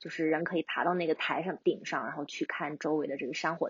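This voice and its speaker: A woman with a very deep, low pitch talks at a fairly quick pace. Her pitch variation is ordinary. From China, urban. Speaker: long-distance hiker. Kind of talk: interview.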